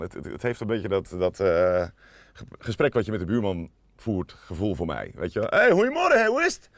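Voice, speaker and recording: A man talks fairly quickly, his loudness swinging widely. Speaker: radio DJ. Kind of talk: casual interview chat.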